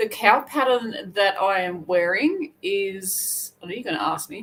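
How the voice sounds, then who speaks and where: The speaker has an Australian accent and lively intonation. The pace is fairly slow, with big swings in loudness. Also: woman, medium pitch for a woman. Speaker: crochet youtuber. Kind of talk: casual livestream chat. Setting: livestream. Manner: chatty, rambling with self-corrections.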